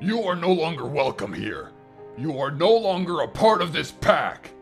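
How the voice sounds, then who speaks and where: Against clear music in the background, a man uses a put-on character voice pitched high, speaking at a moderate pace. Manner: furious, shouting, contemptuous.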